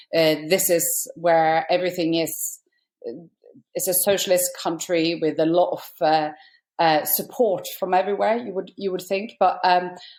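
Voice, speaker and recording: Speaking with a Norwegian accent, a woman uses a fairly low pitch and fairly even intonation. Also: moderate pace. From northern Norway. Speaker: stand-up comedian. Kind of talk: interview.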